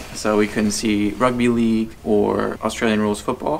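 A man's fairly low voice at a moderate pace, fairly even in intonation, over light background noise. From USA. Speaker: travel vlogger. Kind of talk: casual chat. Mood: relaxed, friendly. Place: home room. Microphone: phone near.

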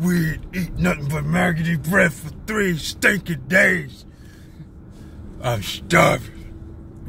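A man performs a put-on character voice at a very slow pace, with clear background noise behind him. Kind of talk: casual vlog chat, playful quoting. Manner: complaining.

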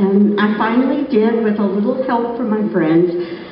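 Light background noise can be heard. The room echo is audible. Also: woman. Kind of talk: acceptance speech. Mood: thrilled, humorous, grateful. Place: stage. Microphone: podium.

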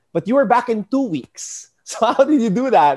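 Speaking with a Filipino accent, a man makes very wide pitch swings. The background is quiet. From Philippines. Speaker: sports podcast host. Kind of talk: casual interview. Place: home room. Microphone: earbuds.

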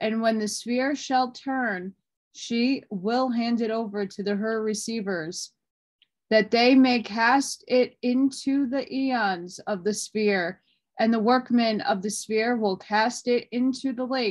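Ordinary pitch variation at a very slow pace over a quiet background. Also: woman. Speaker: reader of an old text. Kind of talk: reading aloud. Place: home room. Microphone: phone near.

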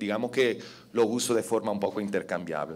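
The speaker talks at a moderate pace with an Italian accent. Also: man. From Italy. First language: Italian (speaking Spanish). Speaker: telecom policy expert, conference speaker; conference speaker. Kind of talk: conference talk. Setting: stage with audience. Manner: halting, many fillers. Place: hall. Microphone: podium.

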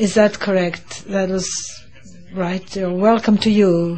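Fairly slow delivery pairs with monotone, flat intonation. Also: woman. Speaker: conference host or his interpreter. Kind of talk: opening speech. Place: hall. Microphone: podium.

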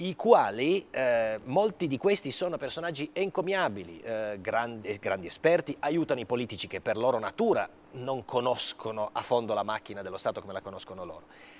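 A man speaks at a fairly quick pace with a medium pitch. His pitch swings very widely and his loudness swings a lot. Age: 50s. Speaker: senator. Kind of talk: TV interview. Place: studio. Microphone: lapel.

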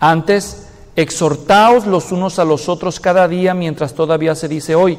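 A man talking at a fairly slow pace against a quiet background. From Mexico, Guadalajara; Jalisco, Mexico. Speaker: pastor. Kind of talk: sermon. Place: church.

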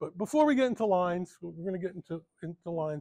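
A man talks at a moderate pace in a high pitch. The background is quiet. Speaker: presenter. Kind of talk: lecture. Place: hall.

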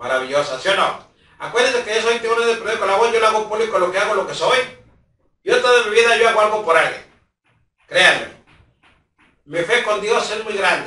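A raised, projected voice moves at a fairly quick pace with ordinary pitch variation and audible room echo. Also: man. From Mexico. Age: 60s. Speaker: local news vlogger. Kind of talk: direct-to-camera public appeal. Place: home room. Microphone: camera far.

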